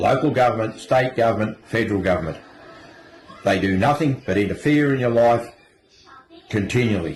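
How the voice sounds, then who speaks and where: The speaker goes at a moderate pace with ordinary pitch variation. Noticeable background noise is present. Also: man. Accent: strong Australian. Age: 70s. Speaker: retiree ranting. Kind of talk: angry rant.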